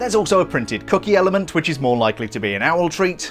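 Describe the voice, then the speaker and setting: A man's high-pitched, upbeat voice at a very fast pace, with very wide pitch swings and music in the background. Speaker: LEGO reviewer. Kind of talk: product review narration. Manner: upbeat, jokey.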